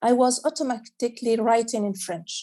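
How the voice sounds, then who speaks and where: At a fairly slow pace, a woman with an Arabic accent speaks in a fairly high pitch with a dark, mellow tone and fairly even intonation. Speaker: children's author. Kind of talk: panel discussion. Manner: halting.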